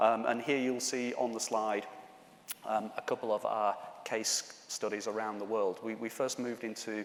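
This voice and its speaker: Flat, monotone intonation comes at a moderate pace in a Yorkshire accent. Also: man, medium pitch for a man. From Yorkshire, northern England. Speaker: conference speaker, telecom executive. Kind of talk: conference presentation. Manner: hesitant, many fillers.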